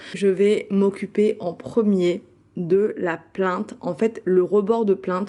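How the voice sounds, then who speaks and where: A dark, mellow tone with fairly even intonation. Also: woman. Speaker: home cleaning vlogger. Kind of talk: casual voiceover tutorial. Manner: hesitant, many fillers.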